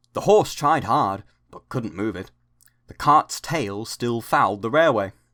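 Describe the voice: It is plain reading aloud with lively intonation over a quiet background.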